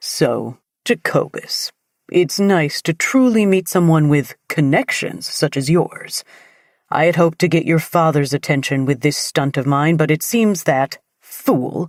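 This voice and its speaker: In a raspy, put-on character voice, a man talks at a fairly slow pace and fairly high pitch, with dry, close sound and no echo. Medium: read story. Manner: condescending, resentful.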